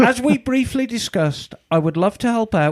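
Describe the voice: The intonation rises and falls in a lively way. It's a case of plain reading aloud.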